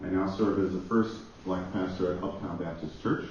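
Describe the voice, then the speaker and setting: With a very deep, low pitch and fairly even intonation, a man speaks at a moderate pace amid noticeable background noise and audible room echo. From Jamaica, Kingston. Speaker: pastor. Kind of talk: conference panel introduction.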